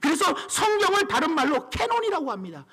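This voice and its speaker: A man in a raised, projected voice swings his pitch very widely. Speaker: pastor. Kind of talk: sermon. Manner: brisk, clear delivery.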